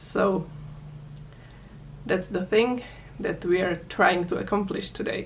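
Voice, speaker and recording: A woman with a Czech accent speaks very slowly in a somewhat breathy voice, her intonation fairly even and her pauses long and frequent. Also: medium pitch for a woman. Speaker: crochet tutorial maker. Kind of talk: tutorial.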